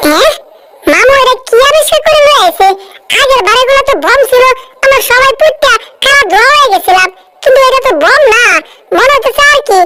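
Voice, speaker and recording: A woman puts on a whiny character voice at an extremely high pitch. She speaks at a moderate pace. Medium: cartoon. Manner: whiny, fearful.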